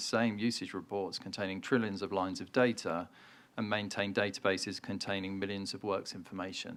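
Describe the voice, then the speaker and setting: On a very clean recording with a silent background, a man speaks with a British accent. His fairly low voice moves at a very fast pace. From UK. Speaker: trade association CEO. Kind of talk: keynote speech.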